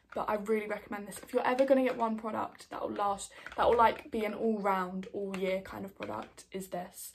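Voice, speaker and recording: A woman speaks at a fairly quick, medium-pitched clip with hardly any pauses. Her intonation stays fairly even over noticeable background noise. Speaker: beauty vlogger. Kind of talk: casual chat.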